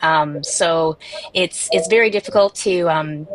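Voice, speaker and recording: This woman's voice sits at a fairly low pitch. Noticeable background noise can be heard. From Canada, Toronto. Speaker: animal welfare tech founder. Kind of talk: panel discussion. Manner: halting, many fillers.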